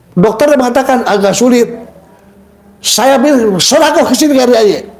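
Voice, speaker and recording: Amid noticeable background noise and audible room echo, a man with an extremely high pitch talks in an animated tone at a fairly quick pace, with very even loudness and ordinary pitch variation. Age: 60s. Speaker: testimony giver at a charity prayer house. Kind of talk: testimony.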